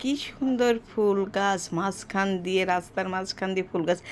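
In an unremarkable speaking voice, a woman talks at a medium pitch with fairly even intonation. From Rajshahi, Bangladesh. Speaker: vlogger. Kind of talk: casual vlog narration. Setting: hospital.

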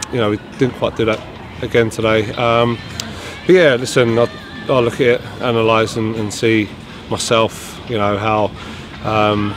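Faint music plays behind a man whose sound is dry, with no echo. He keeps a fairly even intonation and takes long, frequent pauses. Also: moderate pace. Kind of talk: interview answer. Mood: disappointed, reflective. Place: stadium.

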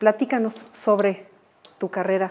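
A woman talks at a moderate pace. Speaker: art historian and TV presenter. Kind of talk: TV interview. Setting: artist's workshop. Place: workshop. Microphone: lapel.

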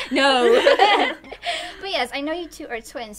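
The woman speaks at a fairly slow pace. Light background noise can be heard. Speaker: interviewer. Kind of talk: interview questions, upbeat. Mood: cheerful, laughing. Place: home room.

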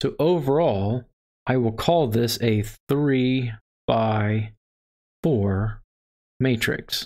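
Very slowly and with long, frequent pauses, a man with an American accent speaks with ordinary pitch variation and very even loudness over a quiet background. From Texas. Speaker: math instructor. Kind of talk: lecture. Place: home room.

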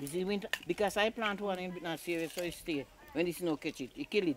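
The speaker talks at a fairly quick pace with a Jamaican accent. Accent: Jamaican Patwa. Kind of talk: casual conversation.

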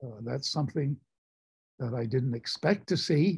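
With vocal fry and a dark, mellow tone, a man speaks in an American accent against a quiet background. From United States. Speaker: war veteran. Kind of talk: storytelling to a class. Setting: video call. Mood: earnest, reflective. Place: home room. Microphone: video call.

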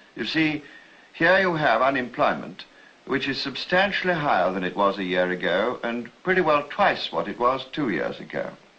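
A man with a British accent, fairly high in pitch with very wide swings, at a moderate pace. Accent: British, old-fashioned received pronunciation. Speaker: politician (party leader) speaking on a campaign tour. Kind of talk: political speech, to camera.

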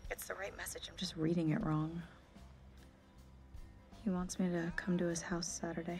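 Faint music plays in the background as a woman with a fairly low pitch speaks at a moderate pace in a monotone, flat intonation. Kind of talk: scripted drama dialogue. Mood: teasing, suspicious, amused. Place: home room.

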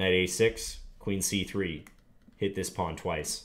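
A man speaks with a very deep, low pitch. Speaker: chess teacher. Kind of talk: tutorial with live game commentary. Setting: screen recording of online chess. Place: home room.

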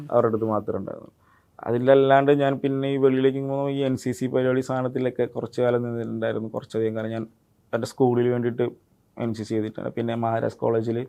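The man's voice sits at a medium pitch and stays monotone and flat. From Kerala, India (Idukki, then Ernakulam from age 7). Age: 20s. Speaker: actor. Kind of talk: interview. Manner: words not fully pronounced.

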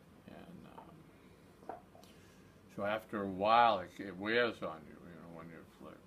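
A man's speech, with ordinary pitch variation, comes through noticeable background noise. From Massachusetts, Nantucket; Massachusetts. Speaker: war veteran. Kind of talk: oral history interview. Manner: halting. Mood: reflective, somber. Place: home room. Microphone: phone near.

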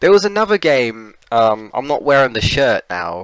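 A man with a British accent at a fairly slow pace, in a dry, close sound with no echo. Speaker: gaming streamer. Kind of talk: live gameplay stream chat. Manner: casual, repetitive stammering.

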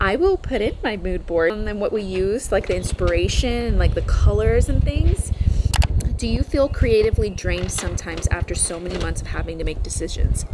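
A woman with an American accent talks at a fairly quick pace. Noticeable background noise runs behind her. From US South, Texas (south of Houston). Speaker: lifestyle and DIY vlogger. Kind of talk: casual vlog and Q&A. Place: garden.

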